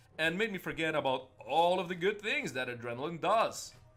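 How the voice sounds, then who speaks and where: Music plays in the background as a man speaks at a moderate pace. His voice is high for a man and has very wide pitch swings. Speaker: gaming youtuber. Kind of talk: let's play commentary. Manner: animated; loud.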